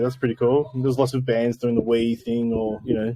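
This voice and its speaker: A mumbling man with an Australian accent, very fast, medium-pitched and monotone with flat intonation. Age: 30s. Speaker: post-rock guitarist. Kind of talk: casual interview chat. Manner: hesitant, many fillers.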